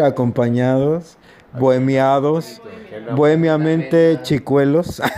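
A man's fairly high pitch moves with ordinary pitch variation. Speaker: podcast host. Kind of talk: casual chat. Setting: informal gathering with music, party. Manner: halting, many fillers.

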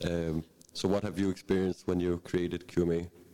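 A man with a Danish accent speaks at a moderate pace in a very deep, low voice with a dark, mellow tone. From Bornholm, Denmark. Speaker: panel moderator. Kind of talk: panel discussion. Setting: stage with audience.

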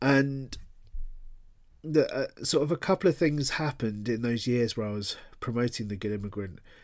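With a London accent and lively intonation, a man of medium pitch speaks at a moderate pace, taking long, frequent pauses, in a very clean recording with a silent background. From London, England. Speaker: author. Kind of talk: interview. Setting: podcast interview. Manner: casual, filler-heavy.

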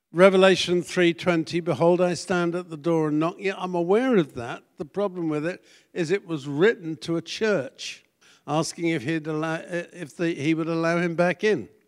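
With a British accent, a man speaks in a high voice with ordinary pitch variation. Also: moderate pace. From Britain. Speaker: pastor. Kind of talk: sermon.

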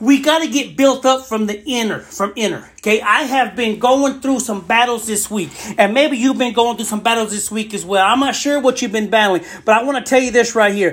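The speech moves at a fairly quick pace with hardly any pauses. Background noise is noticeable. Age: 40s. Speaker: podcast preacher. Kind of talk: fervent one-person podcast sermon, exhorting listeners directly. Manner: halting, self-correcting with fillers and restarts; impassioned, urgent pleading with repeated 'I want' phrases.

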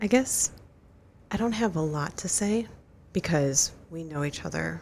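A soft-spoken woman talks at a moderate pace. Her pitch is very deep and low. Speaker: guest co-host, runner's wife and crew chief. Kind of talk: casual interview; heartfelt advice. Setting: studio.

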